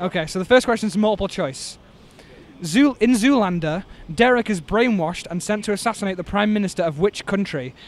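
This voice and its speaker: A man with an English accent speaks high and fairly quickly, with ordinary pitch variation in a dry sound with no echo. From England. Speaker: quiz podcast host. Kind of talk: street quiz game. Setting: outdoors. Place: street.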